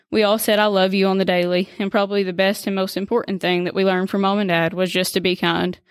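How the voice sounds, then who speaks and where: Speaking very fast with a Kentucky accent, a woman holds a medium pitch and monotone, flat intonation. The recording is very clean, with a silent background. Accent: Kentucky Southern US. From Kentucky, US. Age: 20s. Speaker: nurse and stay-at-home mom. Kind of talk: faith testimony, partly read from prepared text.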